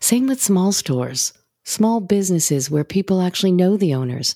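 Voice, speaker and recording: The recording is very clean, with a silent background and a dry, close sound with no echo. A woman with a dark, mellow tone speaks with very wide pitch swings. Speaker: podcast host. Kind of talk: casual interview chat.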